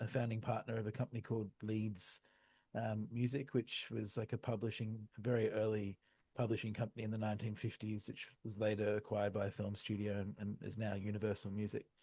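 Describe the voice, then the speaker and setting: A man with an Australian accent, medium pitch, and a fairly quick pace. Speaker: music tech entrepreneur. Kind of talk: interview. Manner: hesitant, many fillers.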